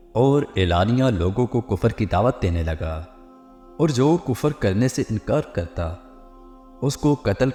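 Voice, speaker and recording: Lively intonation carries the voice over music in the background. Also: man. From Pakistan. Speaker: voice over artist. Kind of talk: Islamic story narration.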